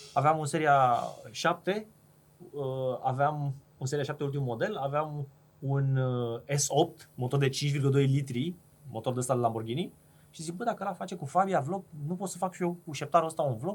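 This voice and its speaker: Somewhat breathy, a man speaks at a fairly high pitch with ordinary pitch variation. His pace is moderate, broken by long, frequent pauses. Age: 30s. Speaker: podcast host and entrepreneur. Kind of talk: casual chat.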